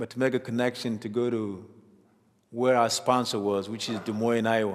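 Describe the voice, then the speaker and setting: A man speaks at a medium pitch and moderate pace, with monotone, flat intonation. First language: African mother tongue (not English). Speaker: refugee sharing life story. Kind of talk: testimony.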